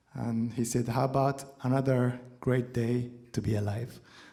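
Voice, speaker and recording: His voice is somewhat breathy, with a dark, mellow tone at medium pitch. This man speaks with a non-native accent and fairly even intonation. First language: not English. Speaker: guitarist. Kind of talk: on-stage talk between songs. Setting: stage with audience. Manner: halting.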